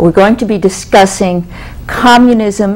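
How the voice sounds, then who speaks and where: Noticeable background noise sits under the voice. The pace is moderate and the pitch varies in an ordinary way. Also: woman. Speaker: talk show host. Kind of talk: show host introduction.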